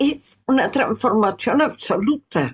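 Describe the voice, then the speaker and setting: A woman is speaking. Her pace is very slow. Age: 70s. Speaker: radio host. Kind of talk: radio talk.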